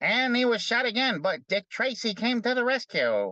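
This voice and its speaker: In a put-on character voice, a female-sounding speaker goes at a moderate pace, nasal and fairly high in pitch. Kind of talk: clipped fast announcer.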